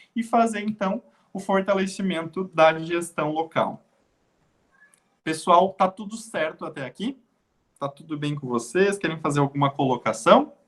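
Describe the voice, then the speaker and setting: Pausing long and often, a high-pitched man speaks at a fairly slow pace with lively intonation and big swings in loudness. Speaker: health sciences lecturer. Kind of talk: online lecture. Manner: hesitant fillers.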